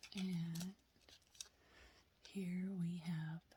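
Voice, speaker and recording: A soft-spoken voice. It moves at a very slow pace. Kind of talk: soft-spoken ASMR show-and-tell.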